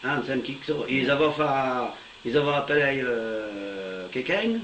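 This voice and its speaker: A man speaks at a very slow pace with a fairly high pitch and very wide pitch swings. Noticeable background noise is present. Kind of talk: casual conversation in local dialect.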